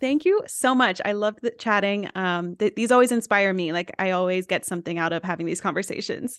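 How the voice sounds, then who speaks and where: In an ordinary speaking voice, a woman with an American accent talks at a fairly quick pace with hardly any pauses, her medium pitch showing ordinary variation, in a dry, close sound with no echo and a quiet background. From US South, East Tennessee. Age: 20s. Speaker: influencer and entrepreneur. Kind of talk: casual interview chat.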